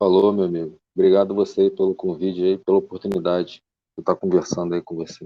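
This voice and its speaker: In a strong Carioca accent, a man talks very fast with a very deep, low voice. His intonation stays flat and monotone. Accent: carioca accent with strong hissing s. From Rio de Janeiro, Brazil. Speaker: bonsai enthusiast, engineer. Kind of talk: podcast interview.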